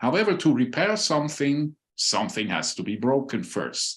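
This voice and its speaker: The recording is very clean with a silent background. A man with a fairly high voice and a Swiss accent speaks at a moderate pace, his pitch swinging very widely. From Switzerland. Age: 60s. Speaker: human biologist and former airline pilot. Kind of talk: conference presentation.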